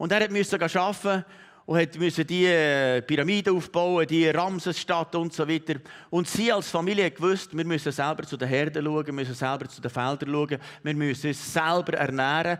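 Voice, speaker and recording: A man's animated voice at a fairly high pitch, with ordinary pitch variation and a moderate pace, on a very clean recording against a silent background. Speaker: pastor. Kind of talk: sermon.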